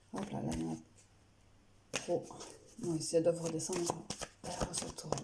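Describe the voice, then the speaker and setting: A soft-spoken woman talks at a moderate pace. Noticeable background noise runs underneath. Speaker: tarot card reader. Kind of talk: card reading.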